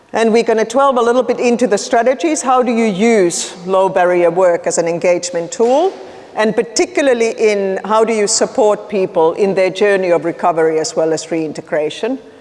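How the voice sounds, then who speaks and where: A woman speaks with hardly any pauses. Noticeable background noise runs behind her. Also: medium pitch for a woman, lively intonation, fairly quick pace, very even loudness. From Finland. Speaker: nonprofit leader working on homelessness. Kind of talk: conference presentation. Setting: conference room with audience. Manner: casual, conversational.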